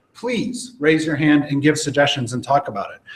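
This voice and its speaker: Somewhat breathy and fairly high in pitch, a man speaks with lively intonation. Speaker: database professional presenting at user group. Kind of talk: presentation to live audience. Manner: fast.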